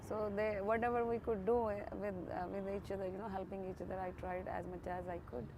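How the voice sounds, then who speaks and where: A woman with an Indian accent talks at a fairly quick pace and medium pitch, her intonation fairly even, with audible room echo. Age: 40s. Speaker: interviewee, woman living in a shelter. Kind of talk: interview testimony. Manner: halting, many fillers and restarts.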